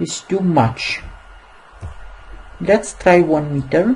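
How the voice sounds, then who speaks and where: Speaking with a non-native accent, a woman has a somewhat breathy voice at a very deep, low pitch. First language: not English. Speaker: software tutorial maker. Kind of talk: tutorial. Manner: halting, many fillers.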